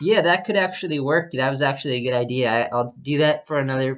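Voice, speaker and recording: A man's medium-pitched voice. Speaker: podcast host. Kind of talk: casual chat. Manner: loud; halting, many restarts. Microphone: laptop recording, own voice louder than call partner.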